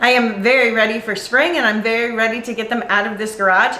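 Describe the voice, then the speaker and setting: A woman talks at a fairly quick pace, with audible room echo in the recording. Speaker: channel host. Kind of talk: tutorial. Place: garage.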